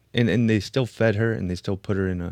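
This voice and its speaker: A man with a Chicago accent comes through dry and close with no echo, against a quiet background. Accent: Chicago American English. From Chicago, US. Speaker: podcast host. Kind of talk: casual chat.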